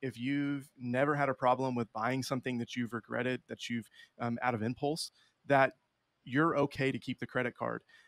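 In an American accent, a man with a normal speaking voice talks at a moderate pace and medium pitch, the sound dry and close with no echo on a very clean recording with a silent background. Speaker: financial educator. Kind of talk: casual interview.

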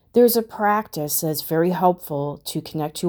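A woman's fairly low voice carries a calm, soothing, dark, mellow tone with ordinary pitch variation, captured in a very clean recording with a silent background. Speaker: meditation guide and podcast host. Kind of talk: guided meditation. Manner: slow, calm, soothing.

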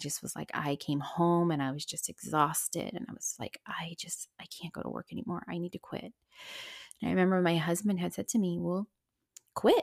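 Heard in a dry, close recording with no echo, a plain, everyday voice with an American accent moves at a moderate pace with ordinary pitch variation. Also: woman. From US, small town. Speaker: spiritual medium and podcast co-host. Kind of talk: solo personal storytelling. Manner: casual, many fillers and laughs.

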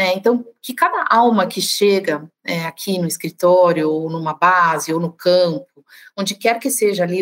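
At a moderate pace, a woman with a medium pitch and ordinary pitch variation speaks in a plain, everyday voice. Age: 40s. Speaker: sales director. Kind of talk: casual conversation.

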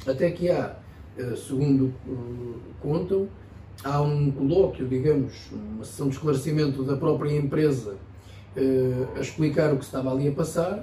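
A man's fairly high-pitched voice at a fairly slow pace, with ordinary pitch variation, audible room echo and noticeable background noise. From Portugal, Ferrel (Peniche area). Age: 20s. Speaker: local politician. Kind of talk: interview. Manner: halting.

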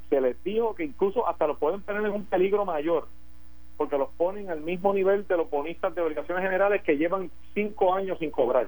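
A man speaks with a high pitch. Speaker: politician. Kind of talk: radio interview.

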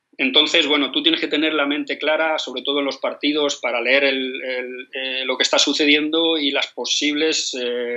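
A man's fairly high voice, monotone and flat, at a moderate pace with hardly any pauses over noticeable background noise. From Spain, Madrid. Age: 50s. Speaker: football coach. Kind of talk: interview. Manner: halting, with many repetitions.

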